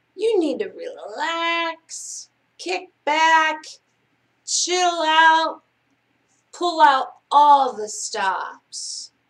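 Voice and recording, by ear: A woman's put-on character voice, high and fairly bright, with big pitch swings at a very slow pace.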